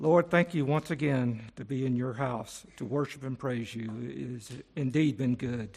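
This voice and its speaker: In an unremarkable speaking voice, a man talks at a medium pitch and fairly slow pace, with ordinary pitch variation and hardly any pauses. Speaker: congregation member leading prayer. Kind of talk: prayer. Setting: church.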